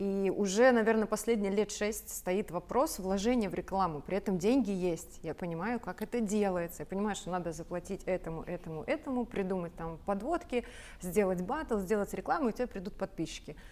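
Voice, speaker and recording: Her delivery is a plain, everyday voice, medium-pitched with ordinary pitch variation. The woman talks at a fairly quick pace. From Belarus, rural village. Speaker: sales mentor and entrepreneur. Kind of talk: talk show conversation.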